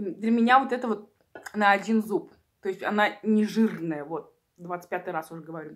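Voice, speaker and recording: A woman talks at a moderate pace with ordinary pitch variation and big swings in loudness. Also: quiet background. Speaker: eating-video creator. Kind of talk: casual vlog chat. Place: home room. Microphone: phone near.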